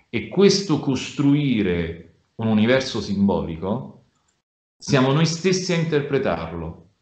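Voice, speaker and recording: Very slow speech with very wide pitch swings, audible room echo and a quiet background. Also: man. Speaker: communications director; speaker. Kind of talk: online seminar talk. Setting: video call. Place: home room. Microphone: video call.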